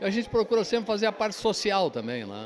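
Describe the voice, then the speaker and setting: A man speaks with very wide pitch swings. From Pelotas, southern Brazil. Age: 70s. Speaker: company owner. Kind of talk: interview.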